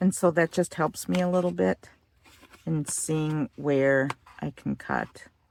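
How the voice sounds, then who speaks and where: Very slowly, a woman speaks in a relaxed tone with a dry, close sound and no echo. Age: 50s. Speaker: craft video creator. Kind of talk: tutorial. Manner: casual, relaxed.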